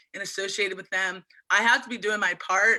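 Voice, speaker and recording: A woman with a Mid-Atlantic American accent speaks at medium pitch and a moderate pace in a bright, sharp tone. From Eastern Shore of Maryland, USA. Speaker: oyster farmer. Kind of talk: interview answer. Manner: casual, enthusiastic.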